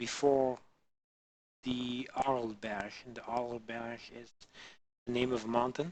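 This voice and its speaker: The intonation stays monotone and flat. A man delivers his words fairly slowly. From Belgium. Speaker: livestreamer doing 3D modelling. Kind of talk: casual livestream chat. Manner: halting, many fillers.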